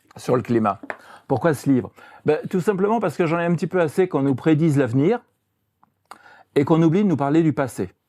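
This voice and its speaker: A man's fairly high pitch and dark, mellow tone at a fairly quick pace, broken by long, frequent pauses. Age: 70s. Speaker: journalist and author. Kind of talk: interview. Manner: hesitant, with fillers.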